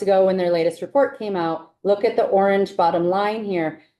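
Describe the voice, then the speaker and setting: With an American accent, a woman speaks at medium pitch in a dark, mellow tone. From New York. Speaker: housing finance agency official. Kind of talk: committee testimony.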